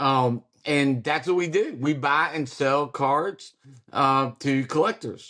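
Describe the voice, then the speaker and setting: At a very slow pace, a man with a Kentucky accent speaks in a fairly high voice, with very even loudness and ordinary pitch variation. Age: 40s. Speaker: card shop owner. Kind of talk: interview conversation.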